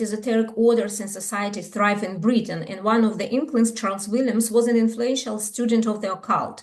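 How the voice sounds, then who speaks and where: In a room with audible echo, a woman speaks at a fairly quick pace with a fairly high pitch and fairly even intonation. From Ukraine. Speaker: scholar. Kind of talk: conference talk. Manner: halting.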